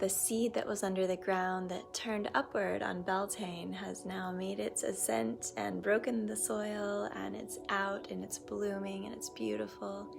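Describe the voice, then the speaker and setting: A soft-spoken woman talks at a fairly slow pace. Music plays in the background. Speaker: acupuncturist and meditation teacher. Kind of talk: casual talk. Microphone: camera propped on a pillow, built-in audio.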